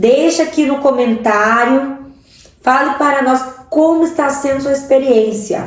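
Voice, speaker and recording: Speaking fairly slowly with a strong Cuiabá accent, a woman with a high pitch and ordinary pitch variation is heard with audible room echo and noticeable background noise. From Central-West Brazil, Várzea Grande/Cuiabá. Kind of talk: sermon-style online teaching.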